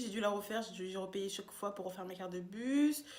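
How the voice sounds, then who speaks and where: Over noticeable background noise, a woman talks fairly quickly in an animated tone with ordinary pitch variation. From France, Tours. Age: 20s. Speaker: YouTuber, student. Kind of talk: casual vlog monologue.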